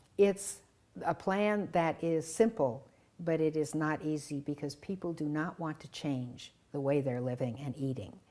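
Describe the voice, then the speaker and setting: This woman's voice is very deep and low, with a dark, mellow tone and ordinary pitch variation. She keeps a moderate pace on a very clean recording with a silent background. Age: 60s. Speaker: physician and health speaker. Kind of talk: interview.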